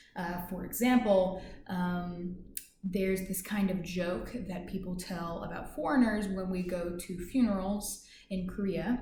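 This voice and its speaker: A woman with an American accent talks at a fairly slow pace. There is audible room echo. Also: medium pitch for a woman, fairly even intonation. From US South, Kentucky. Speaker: English teacher. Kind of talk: self-introduction. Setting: office. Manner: halting, many fillers.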